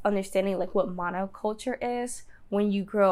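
In an American accent, a woman speaks at a fairly slow pace and medium pitch in a plain, everyday voice, on a very clean recording with a silent background. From US South, Danville, Virginia. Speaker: plant-based lifestyle blogger. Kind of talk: interview. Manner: casual, filler-heavy.

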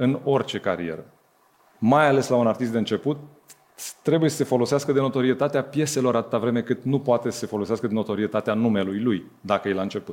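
A man at medium pitch and fairly quick pace, in an ordinary speaking voice. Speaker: music label co-founder. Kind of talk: live interview on stage. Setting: stage with audience.

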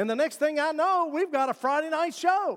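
A man with an Appalachian accent in a very clean recording with a silent background. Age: 50s. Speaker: pastor. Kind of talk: sermon. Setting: church.

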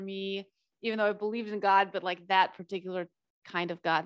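The recording is very clean, with a silent background. A woman speaks in a normal speaking voice at a medium pitch, with fairly even intonation. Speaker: podcast host. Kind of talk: casual interview chat.

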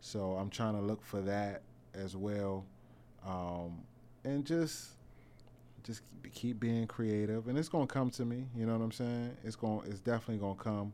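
A fairly low-pitched man with a dark, mellow tone, moderate pace, and long, frequent pauses. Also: ordinary pitch variation. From Washington, DC (Northeast) and Prince George's County, Maryland. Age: 30s. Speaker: music producer. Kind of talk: casual interview. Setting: studio.

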